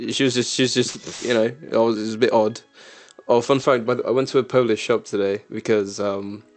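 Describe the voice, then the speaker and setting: The delivery is fairly quick and monotone, with flat intonation. Noticeable background noise is present. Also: man, medium pitch for a man. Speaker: podcast co-host. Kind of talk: casual chat. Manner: halting, many fillers and restarts.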